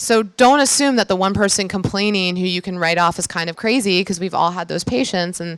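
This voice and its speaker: Fairly quick delivery with hardly any pauses and ordinary pitch variation. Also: woman, medium pitch for a woman. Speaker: physician and healthcare founder. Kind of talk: conference talk. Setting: stage with audience. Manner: fast; casual with filler words.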